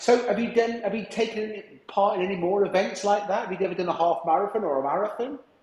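A man speaks at a very fast pace with high pitch and ordinary pitch variation. Noticeable background noise and audible room echo surround his voice. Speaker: podcast host, business coach. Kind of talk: interview. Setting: glass booth in remote working center. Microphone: echoey sound.

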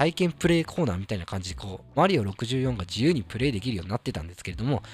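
A man races along at a very fast pace with hardly any pauses, somewhat breathy and medium in pitch, his voice making very wide pitch swings on a very clean recording with a silent background. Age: 30s. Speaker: solo gaming podcast host. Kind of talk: casual solo monologue. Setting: solo podcast recording. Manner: hesitant, many fillers.

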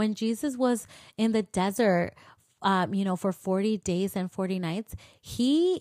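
At a fairly slow pace, a woman talks in a medium pitch, captured dry and close with no echo in a very clean recording with a silent background. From US, Mexican immigrant family. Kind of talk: faith-based monologue. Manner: casual, with frequent fillers.

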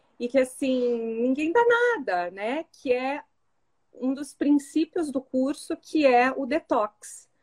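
A woman speaks at a very slow pace in a high voice. Her pitch varies in an ordinary way, and the sound is dry and close with no echo. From Curitiba, southern Brazil. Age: 40s. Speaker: course student sharing testimony. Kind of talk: testimony.

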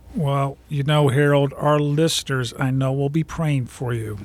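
With a normal speaking voice, a man talks at a fairly slow pace and a fairly high pitch. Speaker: radio host and minister. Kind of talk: radio interview.

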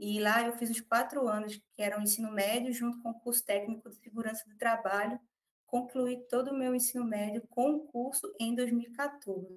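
A woman's fairly high, plain, everyday voice at a moderate pace, fairly even in intonation, with big swings in loudness. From Brazil, Recife. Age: 20s. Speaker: medical student, former lawyer. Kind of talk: interview storytelling.

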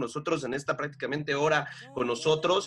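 At a fairly quick pace, a man with a normal speaking voice talks in a fairly high register. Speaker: podcast co-host. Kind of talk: casual interview chat.

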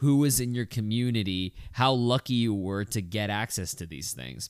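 A man speaks with an American accent at a fairly slow pace, his medium pitch showing ordinary variation. The recording is very clean with a silent background and a dry, close sound with no echo. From Texas. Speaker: podcast host, film reviewer. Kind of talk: solo review podcast. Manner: casual, animated.

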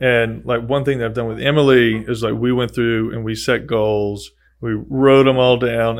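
Using a plain, everyday voice, a man with an American accent speaks at a moderate pace and medium pitch, his intonation fairly even. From Texas, Gulf Coast. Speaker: podcast host. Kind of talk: casual chat.

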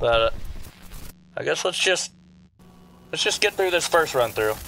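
A man puts on a character voice with a fairly high pitch, a bright, sharp tone, lively intonation and vocal fry. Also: fairly slow pace.

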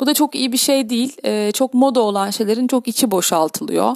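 The speech comes at a moderate pace. The recording is very clean with a silent background and a dry, close sound with no echo. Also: woman. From Istanbul, Turkey. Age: 40s. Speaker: health and life coach, podcaster. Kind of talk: solo podcast monologue. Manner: hesitant with frequent fillers.

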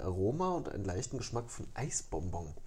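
This man has a dark, mellow tone, somewhat breathy, with very wide swings in pitch. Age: 30s. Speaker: podcast co-host. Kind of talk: casual chat.

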